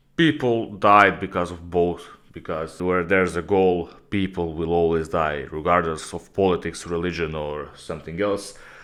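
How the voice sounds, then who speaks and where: A man speaks with a very deep, low pitch and fairly even intonation. His pace is moderate, and the background is quiet. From Croatia, Rijeka. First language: Croatian. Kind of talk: casual Q&A video talk. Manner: casual, with filler hesitations.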